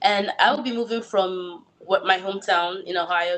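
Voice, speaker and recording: A woman with a Nigerian accent speaks at a medium pitch with fairly even intonation. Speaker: actor. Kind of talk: interview. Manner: halting, many fillers.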